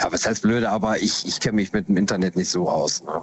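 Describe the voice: At a fairly quick pace, a man talks in a low pitch with ordinary pitch variation.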